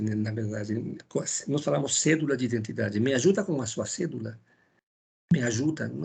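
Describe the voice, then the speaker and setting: A man talks at a medium pitch with lively intonation. Vocal fry runs through his voice. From Ecuador. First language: Spanish (speaking Portuguese). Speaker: philosophy lecturer. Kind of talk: lecture. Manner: halting, with many fillers and repetitions.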